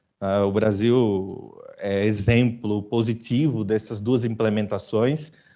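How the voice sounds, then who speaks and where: A man with a northeastern Brazilian accent talks at a very slow pace with hardly any pauses, his fairly low pitch held in fairly even intonation. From Brazilian Northeast, Aracaju (Sergipe). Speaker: business executive, conference speaker. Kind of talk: conference talk. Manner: informal, conversational.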